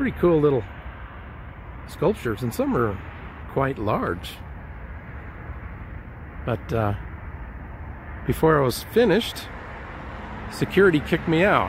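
Long, frequent pauses break up a man's fairly slow speech. The sound is dry with no echo, over light background noise. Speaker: video blogger filming sights. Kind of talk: casual vlog chat. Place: street. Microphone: phone near.

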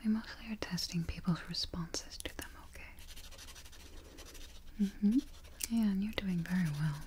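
A soft-spoken woman's somewhat breathy voice, gentle in tone, with ordinary pitch variation, big swings in loudness and light background noise. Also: moderate pace. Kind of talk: ASMR role-play, soft-spoken. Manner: soft-spoken, gentle, quiet voice. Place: home room.

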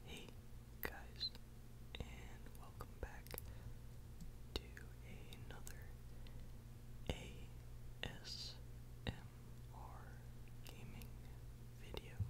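Long, frequent pauses amid loud background noise. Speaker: ASMR gaming creator. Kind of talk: whispered gameplay commentary.

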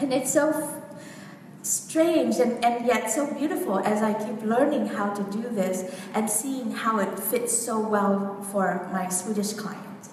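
Amid light background noise and audible room echo, a woman speaks at a very slow pace with ordinary pitch variation. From Vietnam. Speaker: women's coach. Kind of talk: workshop talk. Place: hall. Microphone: camera far.

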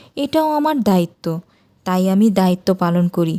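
Soft-spoken and in a put-on character voice, the speaker moves at a moderate pace with very wide pitch swings, recorded dry and close with no echo and a silent background. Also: woman, medium pitch for a woman. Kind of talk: calm, conciliatory. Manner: soft, gentle.

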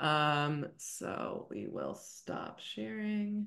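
A woman speaks in a bright, sharp tone against a quiet background. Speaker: discussion facilitator, wheelchair user. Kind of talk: casual video-call discussion. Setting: video call. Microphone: video call.

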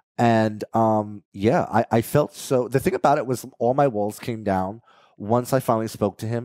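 A man speaks at a medium pitch and moderate pace with a dark, mellow tone and ordinary pitch variation, recorded dry with no echo against a quiet background. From New Jersey. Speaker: reality TV personality and content creator; content creator. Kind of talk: casual interview. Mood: warm, reflective. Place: home room. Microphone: headset.

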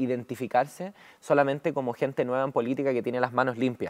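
A woman speaks with a very deep, low pitch and fairly even intonation. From Chile. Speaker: member of parliament; politician guest. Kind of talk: political interview. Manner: hesitant, many fillers. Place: studio. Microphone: lapel.

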